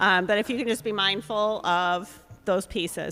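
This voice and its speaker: Music can be heard in the background. Over it, a woman talks at a fairly slow pace. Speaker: forum moderator. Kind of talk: moderating a public candidate forum. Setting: public forum with live audience, live streamed. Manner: loud.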